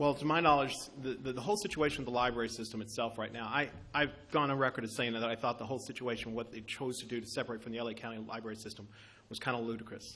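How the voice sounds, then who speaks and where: A man talks very fast in a Kentucky accent. His intonation stays fairly even. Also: medium pitch for a man. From Kentucky, US South. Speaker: city council candidate. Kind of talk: campaign speech and audience Q&A. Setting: banquet room meeting with audience.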